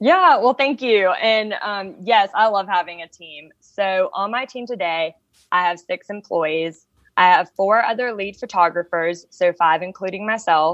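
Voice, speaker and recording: At a fairly slow pace, a woman of medium pitch speaks in an unremarkable speaking voice with ordinary pitch variation and big swings in loudness. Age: 30s. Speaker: wedding photographer and studio owner. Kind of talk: podcast interview.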